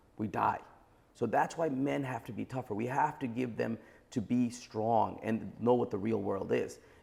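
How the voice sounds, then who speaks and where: A man with a New York accent talks at a moderate pace in a medium pitch, his dark, mellow tone carrying vocal fry and ordinary pitch variation. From Brooklyn, New York. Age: 40s. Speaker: entrepreneur. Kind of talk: podcast interview.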